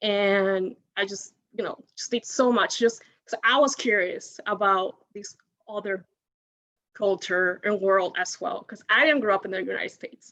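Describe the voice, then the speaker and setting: Speaking with a Spanish accent, a woman of medium pitch has a bright, sharp tone and a fairly slow pace. Her loudness swings widely. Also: ordinary pitch variation. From Dominican Republic. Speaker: alumni panelist. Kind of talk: panel discussion. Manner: halting, many fillers.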